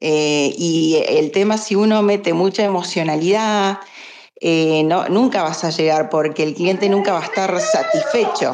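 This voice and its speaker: A woman's voice with ordinary pitch variation and very even loudness, over noticeable background noise. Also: medium pitch for a woman, fairly slow pace. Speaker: lawyer. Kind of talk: casual discussion.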